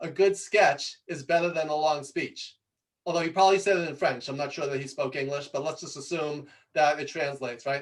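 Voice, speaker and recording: The tone is animated, with an ordinary amount of pitch variation. The pace is fairly quick, in a New York accent. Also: man. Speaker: presentation coach. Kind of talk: talk to audience. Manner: fast.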